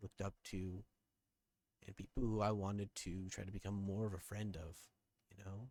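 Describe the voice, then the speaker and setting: In a dry, close sound with no echo, the man's fairly low, somewhat breathy voice stays monotone and flat. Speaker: content creator. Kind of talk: personal vlog update. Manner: somber; halting.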